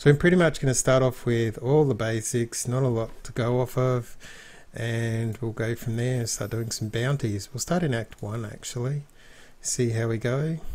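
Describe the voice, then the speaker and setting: Speaking at a moderate pace with an Australian accent, a man uses a medium-pitched voice and fairly even intonation on a very clean recording with a silent background. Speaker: gaming video narrator. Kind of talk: let's play commentary. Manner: casual, hesitant with fillers.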